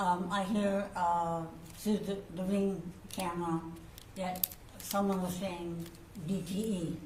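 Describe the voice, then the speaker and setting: A woman's medium-pitched voice, very slow and monotone with flat intonation, against noticeable background noise. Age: 70s. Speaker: crime victim testifying as witness. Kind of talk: courtroom witness testimony. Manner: brief, direct answers.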